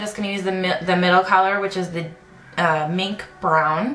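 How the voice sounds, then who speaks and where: A woman speaks amid audible room echo and noticeable background noise. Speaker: beauty vlogger. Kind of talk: tutorial. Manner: fast; hesitant with many fillers.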